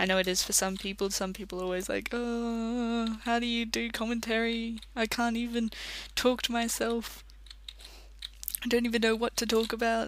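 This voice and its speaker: An Australian accent at a moderate pace. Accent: Australian, self-described. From Australia, country town. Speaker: gaming commentator. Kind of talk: let's play commentary. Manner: rambling casual talk.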